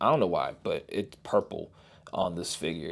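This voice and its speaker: A quiet man at a moderate pace, on a very clean recording with a silent background. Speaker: toy reviewer. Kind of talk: product review. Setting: at home, son sleeping nearby. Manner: subdued, toned down to keep quiet.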